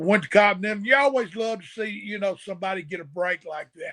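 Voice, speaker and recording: At a fairly quick pace, a man with a Southern US accent speaks in a high voice with a bright, sharp tone. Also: big swings in loudness. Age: 60s. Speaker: retired pro wrestler. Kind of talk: casual chat.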